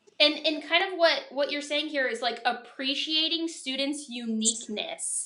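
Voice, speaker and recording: In a raised, projected voice, a woman speaks high and bright with a sharp tone, at a moderate pace with hardly any pauses. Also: ordinary pitch variation. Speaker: teacher, vlog host. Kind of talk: vlog host interview. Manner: upbeat, excited.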